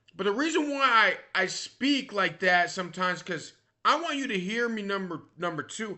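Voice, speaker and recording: A man talks loudly in a high pitch. His tone is animated. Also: lively intonation, moderate pace. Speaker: vlogger. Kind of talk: casual monologue. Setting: recorded at a computer.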